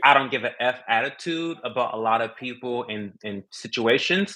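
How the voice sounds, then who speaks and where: A man's medium-pitched voice shows ordinary pitch variation and moves at a moderate speed. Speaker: content creator. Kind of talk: podcast interview. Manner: loud.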